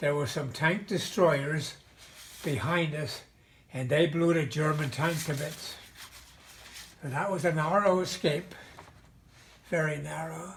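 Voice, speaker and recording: Delivered with an American accent at a fairly slow pace, the speech has long, frequent pauses and ordinary pitch variation, recorded with noticeable background noise and audible room echo. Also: man, fairly high pitch for a man. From Pennsylvania, Mahanoy City area. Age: 90s. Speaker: war veteran. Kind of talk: oral history interview. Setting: video call. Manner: halting.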